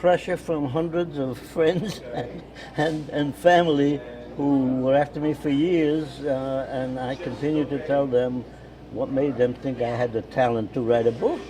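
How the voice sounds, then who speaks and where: Over music in the background, a man with a fairly high pitch speaks at a fairly slow pace with fairly even intonation. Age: 80s+. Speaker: war veteran. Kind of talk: interview answer. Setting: coffee shop.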